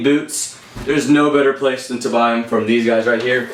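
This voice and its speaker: With an American accent, a man speaks at medium pitch over noticeable background noise and audible room echo. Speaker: airsoft YouTuber. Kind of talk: gear review monologue. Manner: halting, many fillers; casual.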